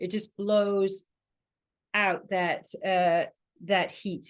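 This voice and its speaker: A woman speaks in a medium pitch with an English accent. Her intonation is flat and monotone, with long, frequent pauses. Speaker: trainer teaching an online session. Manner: explanatory, casual teaching style with many fillers.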